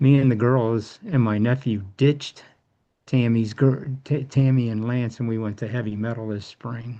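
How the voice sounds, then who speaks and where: Dark and mellow in tone, a man speaks at a medium pitch. His pace is moderate and his intonation fairly even. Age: 60s. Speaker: support group member sharing testimony. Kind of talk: casual group chat.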